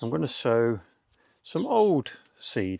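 A man speaks over light background noise, the sound dry with no echo. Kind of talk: tutorial. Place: garden.

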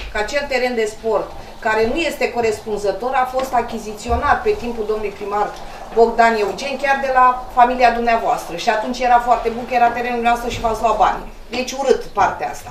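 A woman speaks high at a fairly quick pace with ordinary pitch variation. Audible room echo and light background noise surround her voice. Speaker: council meeting official. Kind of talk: council meeting rebuttal. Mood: reproachful, argumentative. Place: meeting room.

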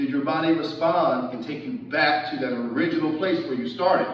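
A man at a moderate pace with ordinary pitch variation, audible room echo and light background noise. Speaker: fitness instructor. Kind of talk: workout class instruction. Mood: calm, encouraging. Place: gym. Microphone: camera far.

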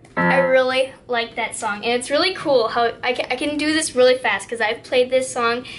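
Clear music sits in the background as a woman talks at a moderate pace. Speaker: vlogger. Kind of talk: casual vlog chat. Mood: a bit self-conscious. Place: home room.

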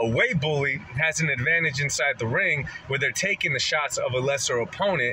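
Faint background noise behind a man's medium-pitched, bright, sharp voice at a fairly quick pace

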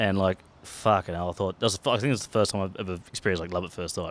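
The man speaks in a low voice with fairly even intonation.

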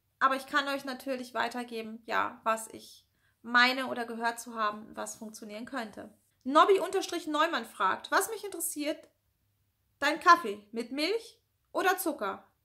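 A raised, projected voice with a bright, sharp tone, lively intonation and big swings in loudness, at a fairly slow pace over a quiet background. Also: woman, high pitch for a woman. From northern Germany (Lower Saxony, near Hannover). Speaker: YouTuber with anxiety disorder; YouTuber answering viewer questions. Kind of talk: casual Q&A vlog. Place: home room. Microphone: phone near.

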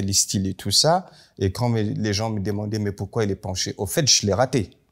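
A man speaks in a plain, everyday voice, fairly low in pitch with ordinary pitch variation, over a quiet background. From northern Cameroon. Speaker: contemporary artist and designer; guest. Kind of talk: panel talk. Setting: library event with audience. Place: hall.

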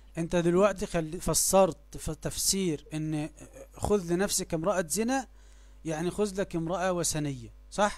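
The speaker is a man with a high pitch. He talks at a very slow pace with fairly even intonation. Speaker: religious debater. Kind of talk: heated debate.

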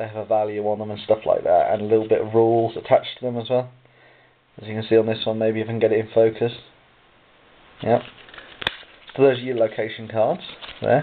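With light background noise behind him, a man speaks very fast at a medium pitch in a monotone, flat intonation, with big swings in loudness and long, frequent pauses. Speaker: board game reviewer. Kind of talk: board game unboxing review. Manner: casual, hesitant with fillers. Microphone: phone near.

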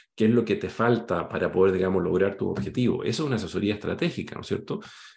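The man's voice is fairly low in pitch, with ordinary pitch variation. The background is quiet. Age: 50s. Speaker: career coach and company founder; career coach. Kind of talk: online workshop presentation. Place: home room. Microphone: webcam.

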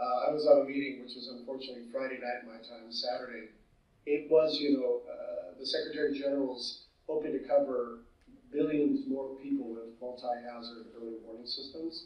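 With a Californian accent, a man talks at a fairly quick pace in a medium pitch, his loudness swinging widely. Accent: Californian American. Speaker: disaster management specialist. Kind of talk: conference presentation. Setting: video call. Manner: animated.

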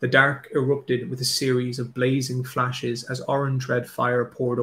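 Unforced voice reading a text aloud

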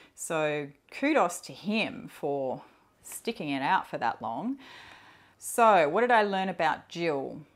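A woman with a relaxed tone speaks at a fairly slow pace with very wide pitch swings over a quiet background. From Australia. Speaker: perfume YouTuber; perfume vlogger. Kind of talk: casual solo vlog talk. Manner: relaxed, hesitant with fillers. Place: home room. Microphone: lapel.

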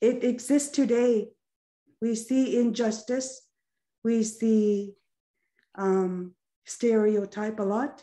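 Against a quiet background, a woman speaks very slowly with long, frequent pauses, a fairly high pitch, a dark, mellow tone and fairly even intonation. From Nunavut, Canadian Arctic. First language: Inuktitut. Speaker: actress and filmmaker; actress. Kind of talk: panel discussion. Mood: earnest, heartfelt. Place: home room. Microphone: video call.

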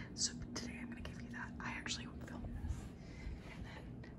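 A woman whispers at a fairly quick pace. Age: 20s. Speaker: ASMR creator. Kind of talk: casual ASMR room tour talk. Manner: soft-spoken. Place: home room. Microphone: handheld.

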